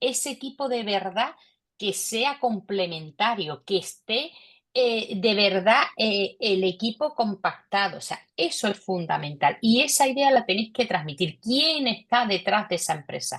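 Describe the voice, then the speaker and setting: Here a woman talks with a Cádiz Andalusian accent. Her intonation is lively. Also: fairly high pitch for a woman, fairly slow pace. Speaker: investor panelist. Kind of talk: panel discussion.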